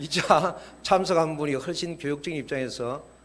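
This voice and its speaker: A man is speaking. There is audible room echo. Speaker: church educator. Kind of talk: lecture to church members. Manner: fast.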